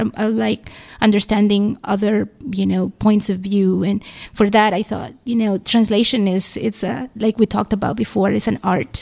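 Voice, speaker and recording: A woman with a Spanish accent, monotone, flat intonation, a dark, mellow tone and a moderate pace. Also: medium pitch for a woman. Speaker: library staff, language resources guest. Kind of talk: radio interview. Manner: hesitant, many fillers.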